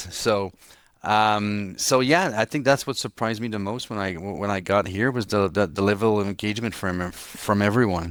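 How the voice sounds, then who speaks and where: This man speaks with a French Canadian accent at a fairly low pitch. His pace is moderate and his pitch varies in an ordinary way. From Quebec, Montreal. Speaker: city nightlife commissioner. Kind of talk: interview conversation. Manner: halting, frequent repetitions and restarts.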